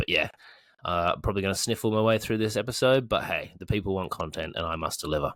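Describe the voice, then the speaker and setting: Someone with an Australian accent talks at a fairly quick pace with ordinary pitch variation, on a very clean recording with a silent background. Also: man. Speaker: fantasy football podcast host. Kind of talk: casual chat. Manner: hesitant, many ums.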